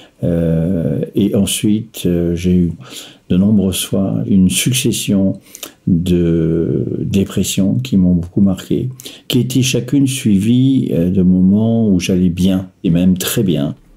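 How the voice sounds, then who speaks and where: Noticeable background noise accompanies a man with a very deep, low pitch who speaks at a very slow pace with very even loudness and lively intonation. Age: 60s. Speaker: person living with bipolar disorder, retiree. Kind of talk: personal testimony. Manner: hesitant, many filler sounds.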